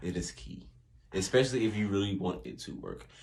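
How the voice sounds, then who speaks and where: A man speaks with lively intonation and a fairly low pitch. Vocal fry runs through his voice. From US South. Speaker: podcast guest, host's partner. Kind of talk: casual chat. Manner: calm, not loud.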